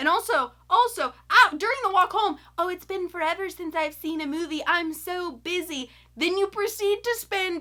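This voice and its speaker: Delivered at a moderate pace with an American accent, the raised, projected voice has an animated tone that is bright and sharp. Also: woman. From US South, Florida. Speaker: YouTuber, film reviewer. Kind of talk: casual movie review.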